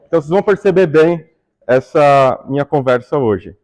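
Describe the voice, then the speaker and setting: The speech is very slow, in a Brazilian accent. The intonation is lively. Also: man. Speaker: astronomer giving public talk. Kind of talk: public lecture. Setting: stage with audience. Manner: casual, conversational.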